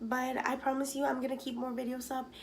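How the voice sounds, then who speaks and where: A soft-spoken woman with a high voice talks over audible room echo. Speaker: YouTuber. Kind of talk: casual storytelling to camera. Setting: home at night.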